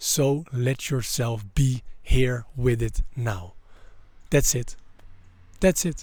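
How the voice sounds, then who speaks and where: Speaking at a very slow pace with long, frequent pauses, a man with medium pitch sounds somewhat breathy and uses ordinary pitch variation. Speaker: mindset coach. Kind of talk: motivational monologue. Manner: halting, many repetitions.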